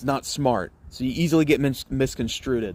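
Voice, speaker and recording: Here a man speaks with an American accent at a medium pitch. His pace is fairly quick and his intonation fairly even. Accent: Southern accent, toned down when streaming. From US South, Mississippi and Alabama. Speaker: college football streamer. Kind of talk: casual live stream chat.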